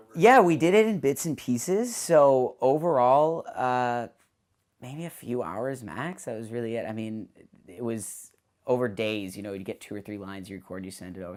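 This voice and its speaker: A man speaks at a moderate pace in an enthusiastic tone, his intonation lively. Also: very clean recording, silent background. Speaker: actor. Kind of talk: interview answer. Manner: casual, enthusiastic.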